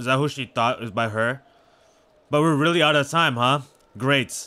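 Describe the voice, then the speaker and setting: A man speaks at a moderate pace and medium pitch, with ordinary pitch variation. His tone is bright, sharp and animated. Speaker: gaming video creator. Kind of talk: casual gameplay commentary. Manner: stuttering at times; casual, animated.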